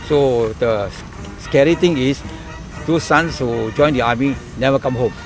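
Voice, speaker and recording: Music plays in the background while a man talks at a medium pitch. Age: 70s. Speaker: retired army officer; army civil engineer. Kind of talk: interview answer.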